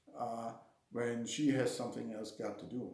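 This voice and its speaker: A man's dark, mellow tone at a fairly slow pace, fairly even in intonation, with audible room echo. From Germany. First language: German. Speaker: martial arts instructor. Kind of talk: casual talk to camera. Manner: halting, with fillers and repetitions.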